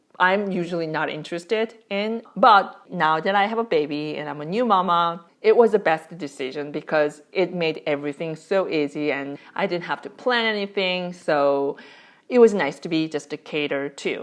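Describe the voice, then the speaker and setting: With ordinary pitch variation and hardly any pauses, the speech keeps a moderate pace. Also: woman, fairly low pitch for a woman. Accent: Korean. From South Korea. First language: Korean. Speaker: parenting vlogger. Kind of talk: casual vlog talk to camera.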